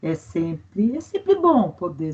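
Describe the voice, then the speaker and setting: The woman speaks very slowly, her voice somewhat breathy. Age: 60s. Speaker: environmental expert, forestry engineer and teacher. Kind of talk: interview.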